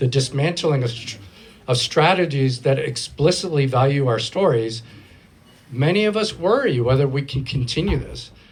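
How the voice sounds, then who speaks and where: A man speaks at a moderate pace in a somewhat breathy voice, with a fairly high pitch and ordinary pitch variation. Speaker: panel moderator, film programs director. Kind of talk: panel moderation at live event. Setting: live event with audience, single microphone.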